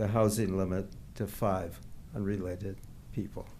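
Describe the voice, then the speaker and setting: Audible room echo around a dark, mellow tone. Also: man. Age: 80s+. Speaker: public commenter, retiree. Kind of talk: public comment at council meeting. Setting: city council meeting.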